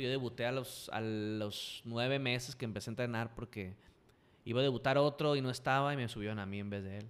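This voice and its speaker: A man speaks with a Sinaloan accent. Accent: Sinaloan Mexican Spanish. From Mexico, Culiacán, Sinaloa. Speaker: professional wrestler and radio host. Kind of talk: casual interview chat.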